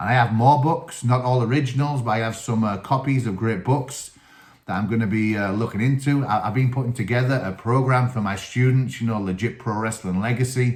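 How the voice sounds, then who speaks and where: With a Teesside accent, a man speaks at a moderate pace in a medium pitch, keeping his intonation fairly even. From northern England, Teesside. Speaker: wrestling coach and channel host. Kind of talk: solo video talk, book review. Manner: casual, many fillers.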